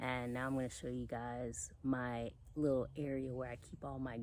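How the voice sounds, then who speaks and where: This woman has a very deep, low voice with a dark, mellow tone. Audible room echo surrounds her. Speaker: home gardener, channel host. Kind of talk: casual garden tour vlog. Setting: outdoors in her garden.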